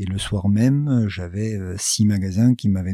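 A man talks at a very slow pace with a dark, mellow tone, fairly low pitch and fairly even intonation. The recording is very clean, with a silent background. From southwest France (Gers). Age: 50s. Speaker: business founder. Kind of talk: interview. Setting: his office. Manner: halting, many fillers.

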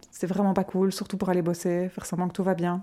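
She has a medium pitch and a dark, mellow tone. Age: 30s. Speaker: mother sharing pregnancy loss story. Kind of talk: testimony. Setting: at guest's home.

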